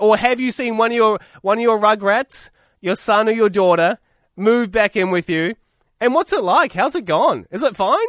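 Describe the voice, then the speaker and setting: Lively intonation carries this moderate-paced speech in a New Zealand accent, captured in a very clean recording with a silent background and a dry, close sound with no echo. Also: man. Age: 20s. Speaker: radio co-host. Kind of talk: casual radio talk.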